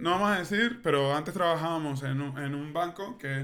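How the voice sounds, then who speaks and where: At a moderate pace, a man talks in a bright, sharp tone with a fairly high pitch and ordinary pitch variation. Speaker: podcast co-host. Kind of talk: casual chat.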